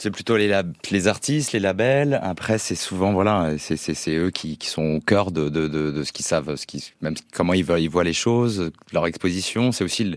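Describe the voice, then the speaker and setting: A man speaks with a very deep, low pitch and lively intonation. His pace is moderate. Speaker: music agency co-founder.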